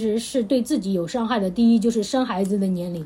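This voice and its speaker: At a fairly quick pace, the woman talks through noticeable background noise. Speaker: podcast host. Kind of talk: casual chat.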